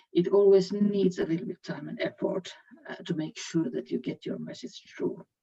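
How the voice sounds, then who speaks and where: A woman speaks with a Finnish accent. Her voice sits at medium pitch with ordinary pitch variation. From Finland. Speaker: HR executive. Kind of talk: panel discussion. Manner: halting.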